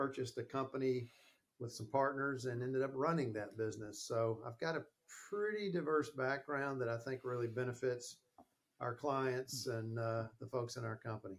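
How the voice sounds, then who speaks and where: Here a man speaks with a Southern US accent at a medium pitch. His pace is moderate and his pitch variation ordinary. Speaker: sales and marketing consultant. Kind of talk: interview podcast.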